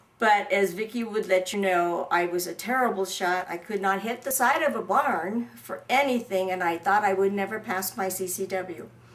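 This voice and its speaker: At a moderate pace and medium pitch, a woman speaks with ordinary pitch variation against noticeable background noise. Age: 60s. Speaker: crime survivor and shooting student. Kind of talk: testimony.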